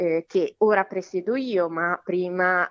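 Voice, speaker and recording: A woman talks at a very slow pace, with a medium pitch and ordinary pitch variation. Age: 30s. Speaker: psychologist and local politician. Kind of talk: interview. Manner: halting, many fillers.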